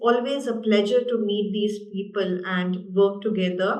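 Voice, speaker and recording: A woman with a medium pitch speaks in an Indian accent with fairly even intonation. Audible room echo fills the recording. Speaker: university international development manager. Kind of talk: panel discussion.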